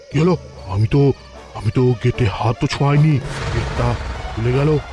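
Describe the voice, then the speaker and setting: With clear music in the background, a man performs a cartoonish character voice at a medium pitch and moderate pace. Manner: stammering when scared.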